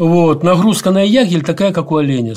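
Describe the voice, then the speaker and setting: A man's high-pitched voice carries along at a moderate pace. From grew up in Azerbaijan, Dagestan and Ukraine. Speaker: architect and educator researching the Arctic. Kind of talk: interview. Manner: halting, many fillers and restarts.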